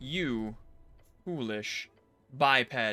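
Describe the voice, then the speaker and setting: A man does a put-on character voice, growling at a medium pitch with lively intonation. Faint music plays in the background. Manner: disdainful, condescending.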